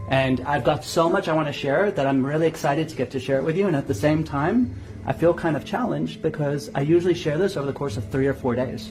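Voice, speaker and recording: A man at a fairly high pitch, lively intonation and a very fast pace, with noticeable background noise and audible room echo. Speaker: hypnosis trainer. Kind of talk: guided visualization; lecture.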